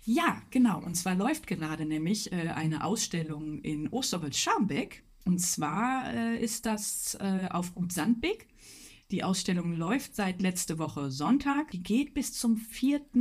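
A woman with a medium-pitched, somewhat breathy voice speaks very slowly. Her pitch swings very widely. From Ruhr area, Germany. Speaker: illustrator and art teacher. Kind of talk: casual chat.

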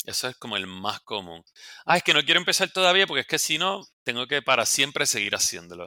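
Very wide pitch swings and vocal fry run through this very fast speech. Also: man, medium pitch for a man. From Puerto Rico. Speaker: dermatologist. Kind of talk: casual interview.

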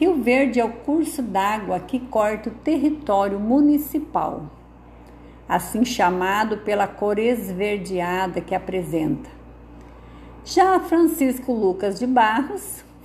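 A woman with a fairly high, somewhat breathy voice speaks very slowly. Her pitch swings very widely. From southern Brazil, Rio Grande do Sul. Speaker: local narrator presenting her town. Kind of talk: scripted narration. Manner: formal.

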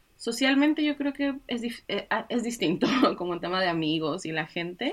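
A woman talks at a moderate pace with lively intonation in a plain, everyday voice. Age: 20s. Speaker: author and web developer. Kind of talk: interview.

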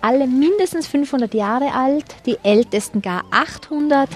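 A woman with a Tyrolean accent, high-pitched and lively in intonation, at a fairly slow pace over noticeable background noise. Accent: Tyrolean dialect with strong K. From Tyrol, Austria. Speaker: tour guide. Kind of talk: guided city tour.

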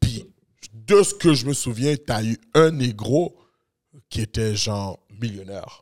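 Music plays in the background as a man at medium pitch speaks at a very slow pace with long, frequent pauses and ordinary pitch variation, in a dry, close sound with no echo. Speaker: podcast co-host. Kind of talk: casual banter.

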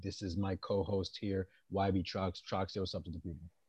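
A man's fairly low, somewhat breathy voice with an American accent, dark and mellow in tone, flat and monotone in intonation, over a quiet background. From New England and Maryland, US. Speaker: podcast host, navy sailor. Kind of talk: casual chat.

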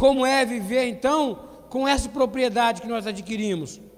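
At a moderate pace, a man with extremely high pitch speaks with lively intonation. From Brazil, Petrópolis (Rio de Janeiro state). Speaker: preacher. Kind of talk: sermon. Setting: church with congregation, streamed online.

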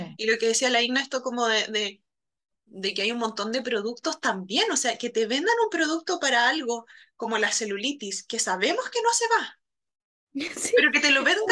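A woman projects a raised voice at a moderate pace, her bright, sharp tone swinging very widely in pitch. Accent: Chilean. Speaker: podcast host and psychologist. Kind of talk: casual chat.

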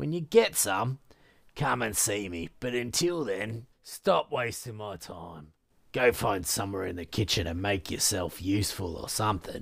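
Using a put-on character voice, a man speaks at a fairly low pitch and a moderate pace in a very clean recording with a silent background. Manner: arrogant, sexist, dismissive.

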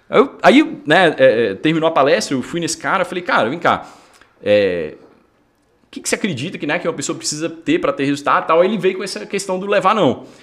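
A man's high-pitched voice, fairly quick, with lively intonation. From northern Minas Gerais, Brazil (near Bahia). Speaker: entrepreneur, fitness franchise founder. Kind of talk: casual interview chat.

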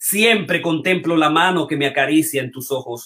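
A man with a fairly high pitch and a bright, sharp tone speaks with ordinary pitch variation. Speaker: show host and metapoet. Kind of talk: live online show hosting, with poetry reading. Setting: online video stream.

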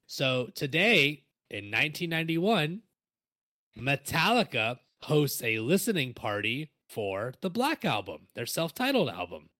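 A man speaks at a fairly slow pace with a fairly high pitch and very wide pitch swings. His tone is bright and sharp, with some vocal fry. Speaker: podcast co-host, musician and music teacher. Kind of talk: casual chat; reading notes aloud. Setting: online call over Discord.

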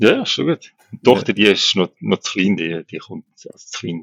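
Very deep, low male speech at a fairly quick pace. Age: 40s. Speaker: co-parenting father. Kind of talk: casual interview.

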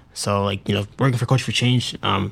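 A very fast, somewhat breathy delivery in an American accent, monotone and flat, on a very clean recording with a silent background. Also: man. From Massachusetts. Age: 20s. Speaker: college student. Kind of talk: casual chat. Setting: studio. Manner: halting.

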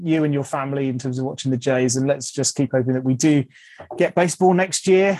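Over a quiet background, a man with a fairly high pitch speaks in a dark, mellow tone. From southern England. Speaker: podcast host. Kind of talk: casual interview chat.

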